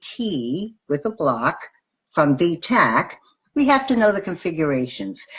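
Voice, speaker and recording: The voice moves at a fairly slow pace, with vocal fry. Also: woman. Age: 60s. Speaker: nurse educator. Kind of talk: lecture. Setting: live video stream.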